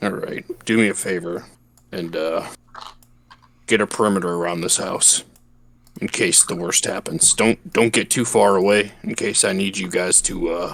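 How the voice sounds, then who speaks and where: Pausing long and often, a man with a very deep, low pitch speaks with fairly even intonation. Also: moderate pace. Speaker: tabletop role-play player. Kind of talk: tabletop role-play session. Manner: monotone.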